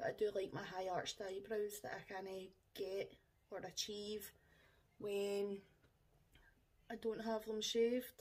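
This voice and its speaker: Long, frequent pauses break up this woman's speech. She has a Scottish accent and fairly even intonation. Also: fairly slow pace. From Scotland. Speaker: makeup vlogger. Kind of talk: tutorial. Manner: casual, chatty. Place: home room. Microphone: camera far.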